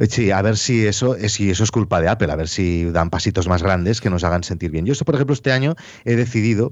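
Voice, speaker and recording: Speaking at a very fast pace, a man with a fairly low pitch keeps his intonation lively and his loudness very even. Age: 40s. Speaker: podcaster and YouTuber. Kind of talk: casual chat. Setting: home office.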